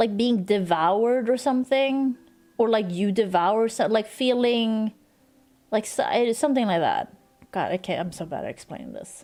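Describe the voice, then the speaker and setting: A woman mumbles at a moderate pace in a dark, mellow tone, her fairly high pitch showing ordinary variation. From Sweden. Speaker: streamer. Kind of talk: casual chat. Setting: livestream. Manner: mumbling.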